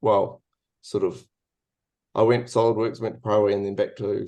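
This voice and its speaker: A man speaks with a New Zealand accent. The background is quiet. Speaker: industrial designer. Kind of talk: webinar presentation. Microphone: video call.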